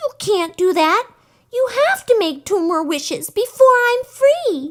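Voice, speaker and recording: A put-on, squeaky, female-sounding character voice with extremely high pitch moves at a fairly slow pace. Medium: read story.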